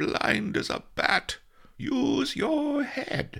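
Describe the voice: Putting on a character voice, a man talks very slowly with an extremely high pitch, a bright, sharp tone, ordinary pitch variation and vocal fry.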